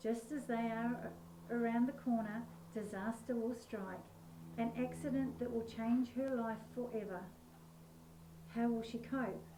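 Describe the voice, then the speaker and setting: Amid noticeable background noise and audible room echo, a woman with an Australian accent and fairly high pitch speaks at a moderate pace, with long, frequent pauses. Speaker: author. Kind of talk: reading aloud; casual chat.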